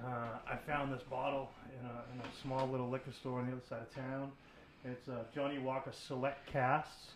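Moderate pace from a man at medium pitch, monotone and flat, over noticeable background noise. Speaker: podcast co-host.

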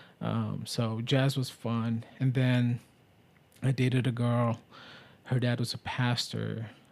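A man talks at a very slow pace in a flat monotone, his loudness very even, with long pauses coming often. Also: medium pitch for a man. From Middle East. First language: Arabic. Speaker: podcast host. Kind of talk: casual chat.

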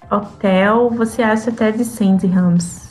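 Over music in the background, a woman speaks with fairly even intonation amid audible room echo. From Brazil. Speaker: flight attendant. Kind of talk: casual chat.

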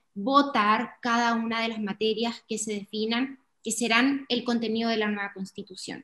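This woman has an unremarkable speaking voice, a fairly high pitch and fairly even intonation, and talks at a moderate pace. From Chile, Iquique (Tarapacá region). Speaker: podcast co-host. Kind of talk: casual explanatory chat.

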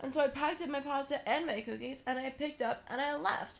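A woman with an American accent talks at a fairly quick pace in a high pitch. Background noise is noticeable. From US South. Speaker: podcast co-host. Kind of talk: casual chat.

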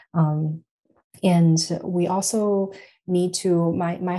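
Woman with a Chinese accent, fairly low pitch and a dark, mellow tone. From China, Shanghai. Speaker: psychology professor. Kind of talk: academic interview.

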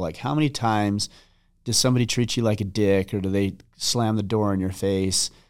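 On a very clean recording with a silent background, a man with a fairly low pitch speaks. He has an ordinary speaking voice, a fairly quick pace and ordinary pitch variation. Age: 40s. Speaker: podcast host and author. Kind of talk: casual chat.

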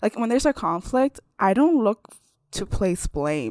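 A woman speaks with very wide pitch swings. The recording is very clean, with a silent background. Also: dry, close sound with no echo. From US from age six, born in China. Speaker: podcast co-host. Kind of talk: casual chat.

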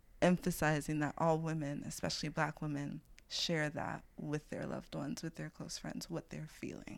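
With a New York accent, a woman speaks at a very deep, low pitch with vocal fry and fairly even intonation. Her pace is moderate with hardly any pauses, and the recording is very clean with a silent background. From Brooklyn, New York City. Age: 20s. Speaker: farmer and food activist. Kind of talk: casual chat.

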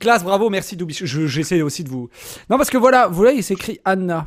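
In a very clean recording with a silent background, a man speaks at a fairly quick pace. His pitch is high and swings very widely. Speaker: livestream host. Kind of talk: casual chat. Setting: home livestream.

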